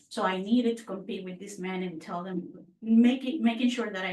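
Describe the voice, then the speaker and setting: In a Puerto Rican accent, a woman speaks at medium pitch amid noticeable background noise and audible room echo. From Puerto Rico. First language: Spanish. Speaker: mortgage branch manager. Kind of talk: podcast interview.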